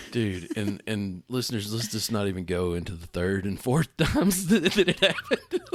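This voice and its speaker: A man with a Southern US accent and a fairly low pitch speaks at a moderate pace. His intonation is lively, with hardly any pauses. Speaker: gaming podcast co-host. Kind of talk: casual chat. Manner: hesitant, filler-heavy.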